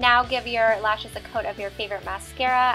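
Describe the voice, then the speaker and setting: Music plays in the background. The talking goes along at a fairly quick pace. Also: woman. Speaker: beauty vlogger. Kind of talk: makeup tutorial narration.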